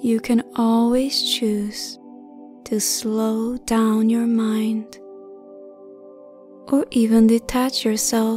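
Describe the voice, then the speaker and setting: A woman's fairly high pitch and fairly even intonation, with music in the background. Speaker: meditation guide. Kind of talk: guided sleep meditation. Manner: hypnotic, calming.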